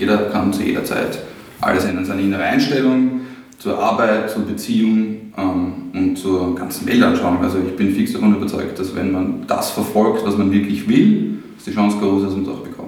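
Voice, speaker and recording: A man in an Austrian accent speaks at a moderate pace, with audible room echo and noticeable background noise. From Austria, near Baden, Lower Austria. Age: 30s. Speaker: designer, ad agency owner. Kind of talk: casual interview.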